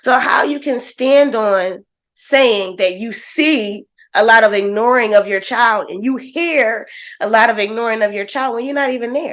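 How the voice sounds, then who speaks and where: In an animated tone, a woman talks with a fairly high pitch and ordinary pitch variation. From Philadelphia, US. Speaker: reaction video host, educator. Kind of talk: reaction commentary. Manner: animated, blunt.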